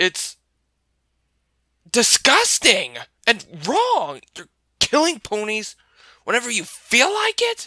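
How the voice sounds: A put-on character voice comes at a fairly high pitch. It moves at a fairly slow pace with long, frequent pauses.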